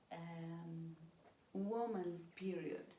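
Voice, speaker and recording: A woman with a non-native accent speaks in a dark, mellow, somewhat breathy tone with lively intonation. Audible room echo fills the recording. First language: not English. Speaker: stepmother of the channel host. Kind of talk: casual chat. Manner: halting.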